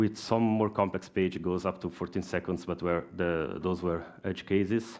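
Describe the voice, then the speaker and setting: The speaker is a man with an Italian accent. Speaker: software engineer. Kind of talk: conference talk. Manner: halting.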